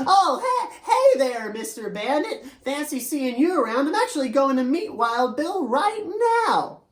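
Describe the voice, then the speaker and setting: A female-sounding put-on character voice speaks at a high pitch and a moderate pace. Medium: read story.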